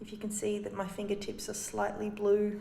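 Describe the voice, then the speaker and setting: Moderate pace from a woman over noticeable background noise. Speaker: sewing teacher. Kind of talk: casual sewing tutorial talk to camera. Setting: echoey communal laundry.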